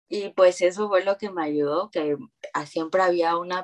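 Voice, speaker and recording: This woman has a normal speaking voice, fairly low in pitch. She talks at a moderate pace. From Mexico, Veracruz. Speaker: new mother sharing birth story. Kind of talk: interview testimony.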